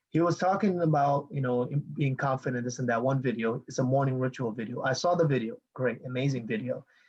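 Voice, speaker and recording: His voice is somewhat breathy, with ordinary pitch variation. The man speaks very fast. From Bangladesh. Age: 20s. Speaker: online marketing coach. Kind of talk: live video call talk. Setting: video call. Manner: animated.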